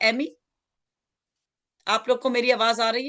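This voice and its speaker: A woman is talking. Her voice sits fairly high. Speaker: pastor. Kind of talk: sermon.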